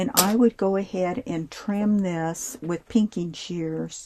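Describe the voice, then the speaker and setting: This woman speaks very slowly in a fairly low, somewhat breathy voice with a dark, mellow tone and ordinary pitch variation. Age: 70s. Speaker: sewing and embroidery tutorial maker. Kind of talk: tutorial. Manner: casual, halting with fillers.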